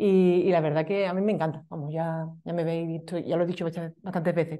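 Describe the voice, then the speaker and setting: Against a quiet background, a woman talks at a fairly quick pace in a dark, mellow tone. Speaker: meetup organizer and web designer. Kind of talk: event introduction. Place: meeting room.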